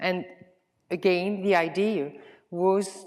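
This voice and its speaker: This is a woman speaking. She has a Swiss French accent. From French-speaking Switzerland, Lausanne. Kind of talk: conference presentation. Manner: halting with filler sounds.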